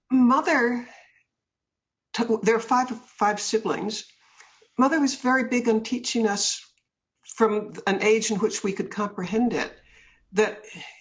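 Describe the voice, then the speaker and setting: A woman with a fairly high, somewhat breathy voice speaks at a fairly slow pace. Her pitch varies in an ordinary way, and long, frequent pauses break up her speech. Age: 70s. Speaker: author and businesswoman. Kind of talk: interview.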